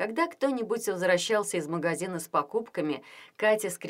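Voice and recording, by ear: Intonation is lively as a natural voice reads the text aloud.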